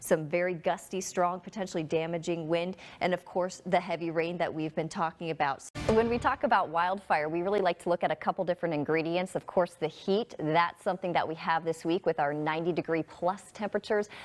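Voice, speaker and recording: Over music in the background, a woman with a fairly low pitch talks at a fairly quick pace with fairly even intonation and hardly any pauses. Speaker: broadcast meteorologist. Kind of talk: TV weather forecast.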